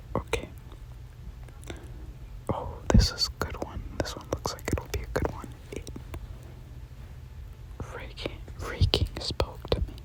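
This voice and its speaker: Whispering at a fairly slow pace with long, frequent pauses, against noticeable background noise. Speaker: ASMR creator. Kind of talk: casual talk to camera. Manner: whispered.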